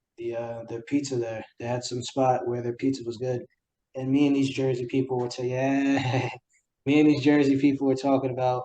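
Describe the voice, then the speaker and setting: This man talks at a fairly quick pace with a dark, mellow tone, medium pitch, and monotone, flat intonation, in a New York accent. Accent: New York City. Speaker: podcast host. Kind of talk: casual chat.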